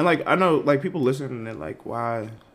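A man with an American accent talks at a fairly quick pace. Vocal fry and very wide pitch swings run through his speech. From Boston area, Massachusetts. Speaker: PhD student. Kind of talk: casual chat.

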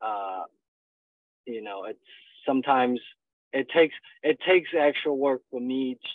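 Speaking at a moderate pace with ordinary pitch variation, a man talks in a Chinese accent. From China. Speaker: stand-up comedian. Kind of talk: interview. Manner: halting, many fillers.

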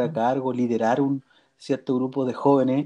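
A man's fairly high voice with a dark, mellow tone. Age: 30s. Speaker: church youth leader. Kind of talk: interview.

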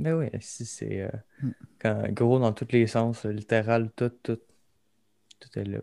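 A man speaks at a very slow pace with long, frequent pauses, his pitch medium and his intonation fairly even. His tone is dark and mellow, and the sound is dry and close with no echo. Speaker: podcast co-host. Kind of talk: casual chat.

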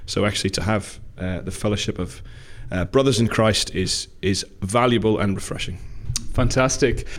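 This man speaks in a Newcastle accent. He keeps a moderate pace. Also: fairly low pitch for a man, ordinary pitch variation. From Newcastle, England. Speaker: minister.

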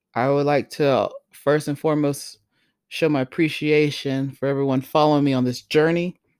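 A moderate pace in an American accent on a very clean recording with a silent background. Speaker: podcast host. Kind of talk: podcast intro monologue. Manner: casual.

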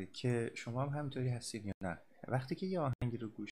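A man's somewhat breathy voice. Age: 30s. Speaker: podcast host, psychology graduate. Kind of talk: casual monologue. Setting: home recording at a microphone. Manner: halting.

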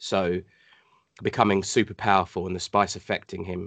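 Over a quiet background, a man talks in a very deep, low voice. His intonation is monotone and flat. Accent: British. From Hong Kong. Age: 40s. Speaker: cosplayer and gamer. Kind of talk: casual chat.

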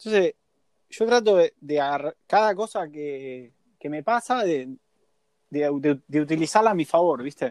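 Speaking at a fairly slow pace in a Rioplatense accent, a man with a fairly high pitch uses lively intonation, recorded with a dry, close sound and no echo. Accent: Argentine Spanish (rioplatense). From Argentina. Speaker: sailor. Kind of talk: interview.

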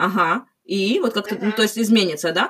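Fairly high in pitch, a woman's voice rushes along at a very fast pace. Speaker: podcast host. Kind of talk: casual chat. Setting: call.

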